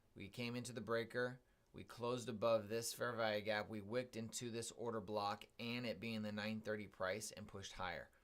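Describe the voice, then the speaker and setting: Using a put-on character voice, a raspy man at medium pitch talks at a fairly quick pace with hardly any pauses. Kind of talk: analytical, processing thoughts aloud. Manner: monotone.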